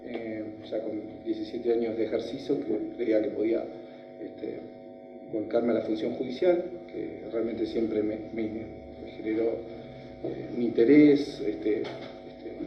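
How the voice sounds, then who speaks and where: There is audible room echo and noticeable background noise. A man speaks fairly slowly, with long, frequent pauses. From Argentina, Neuquén province (Villa La Angostura). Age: 40s. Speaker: lawyer, judicial candidate. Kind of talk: job interview, formal personal presentation. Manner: many filler sounds (eh, este).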